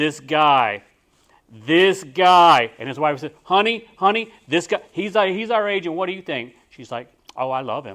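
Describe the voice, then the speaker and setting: In a Texan accent, a man speaks at a moderate pace with fairly high pitch and lively intonation on a very clean recording with a silent background. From Texas. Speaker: real estate agent. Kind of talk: talk to a group. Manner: casual, with many fillers.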